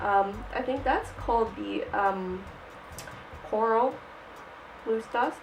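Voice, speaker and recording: A woman talks with ordinary pitch variation while music plays behind her. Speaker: makeup tutorial creator. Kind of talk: casual tutorial talk to camera.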